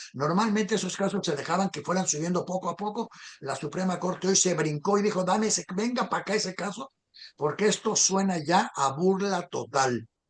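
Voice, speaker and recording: A man talks fairly quickly in a high pitch that varies in an ordinary way. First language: a minority language, not Spanish (speaking Spanish). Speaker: political talk show host. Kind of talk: casual political discussion.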